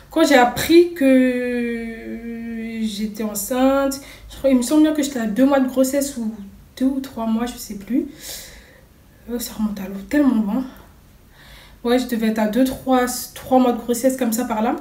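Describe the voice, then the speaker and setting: In a put-on character voice, a woman speaks high and shrill at a moderate pace, with long, frequent pauses and an audible echo. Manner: slight lisp from a fresh tongue piercing.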